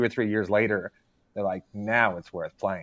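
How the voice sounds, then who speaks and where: A man talks in an ordinary speaking voice at a fairly quick pace. His pitch is fairly low and his intonation fairly even. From Arkansas, US South. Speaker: gaming writer. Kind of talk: casual chat. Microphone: unstable connection.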